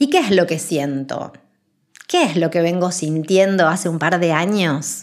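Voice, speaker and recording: Here is an ordinary speaking voice from a woman with fairly low pitch. She talks at a fairly slow pace with ordinary pitch variation. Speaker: spiritual podcast host. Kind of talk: spiritual monologue.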